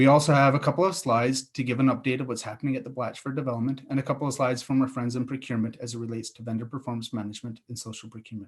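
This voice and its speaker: A man with a Canadian accent talks very fast at a medium pitch with hardly any pauses, sounding somewhat breathy, with fairly even intonation and big swings in loudness. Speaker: city infrastructure director. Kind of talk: conference presentation. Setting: virtual event.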